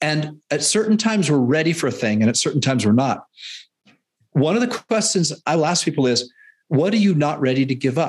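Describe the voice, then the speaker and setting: A man with a Canadian accent speaks fairly quickly in a fairly high, somewhat breathy voice, his pitch swinging very widely. His loudness stays very even over a quiet background. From Canada. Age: 50s. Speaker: fitness and nutrition coach. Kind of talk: interview conversation.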